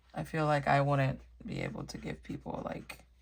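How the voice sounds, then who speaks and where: Speaking softly, the voice proceeds at a rather slow pace. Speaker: coloring video creator. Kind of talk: casual chat. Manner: soft-spoken.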